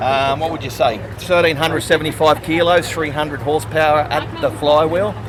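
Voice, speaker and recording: With an Australian accent and a fairly high pitch, a man speaks at a fairly quick pace with hardly any pauses and ordinary pitch variation, against noticeable background noise. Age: 60s. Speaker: car mechanic. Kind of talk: casual interview. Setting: outdoors at car meet.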